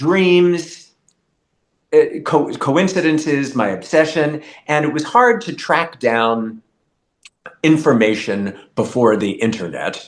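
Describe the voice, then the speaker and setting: At a very slow pace, a man with a fairly high voice leaves long, frequent pauses and makes very wide pitch swings. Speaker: journalist and author. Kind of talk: casual interview. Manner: enunciates clearly.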